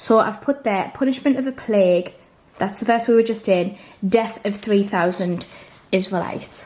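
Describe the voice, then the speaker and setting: A woman with a British accent talks at a moderate pace, her fairly high pitch showing ordinary variation. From UK. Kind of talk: Bible study vlog. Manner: casual. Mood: calm, earnest. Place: home room.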